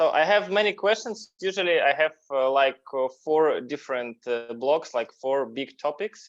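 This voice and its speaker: A man with a non-native accent speaks at a moderate pace in a fairly high pitch, with hardly any pauses. His intonation is lively. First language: Russian. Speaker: interview show host. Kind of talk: interview. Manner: halting.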